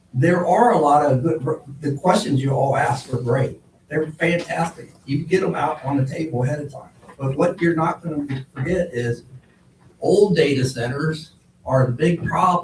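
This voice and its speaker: An American accent marks this man's fairly high voice. He speaks at a moderate pace with ordinary pitch variation. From Ohio. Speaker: public commenter at a zoning hearing. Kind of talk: public comment testimony. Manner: loud; animated.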